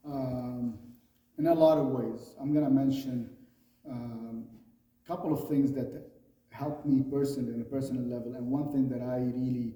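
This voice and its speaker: With a Lebanese accent, a man of medium pitch speaks at a moderate pace with fairly even intonation and long, frequent pauses, amid audible room echo. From Lebanon. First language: Arabic. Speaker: fraternal organization leader. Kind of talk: interview.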